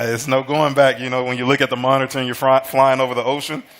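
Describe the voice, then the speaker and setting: A man with an American accent at a very fast pace, against noticeable background noise. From Alabama, US South. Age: 30s. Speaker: American football coach. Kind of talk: casual chat. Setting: kitchen, cooking show.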